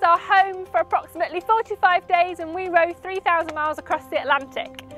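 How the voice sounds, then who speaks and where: Clear music plays behind a woman whose extremely high-pitched voice sounds dry, with no echo. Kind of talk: interview answer. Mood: upbeat, enthusiastic. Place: waterside. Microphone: lapel.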